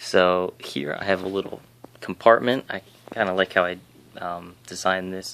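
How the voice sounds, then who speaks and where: Soft-spoken, a man with a very deep, low pitch talks at a moderate pace with fairly even intonation and big swings in loudness. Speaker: 3D printing hobbyist YouTuber. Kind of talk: casual tutorial. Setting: home at night. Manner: hesitant, many fillers. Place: home room. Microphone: phone near.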